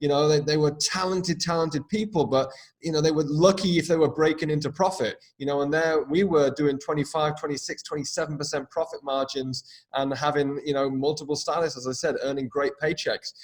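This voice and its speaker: A man speaks at a fairly quick pace in a fairly high, somewhat breathy voice, his intonation fairly even. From UK. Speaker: business coach and former hairdresser. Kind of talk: podcast interview.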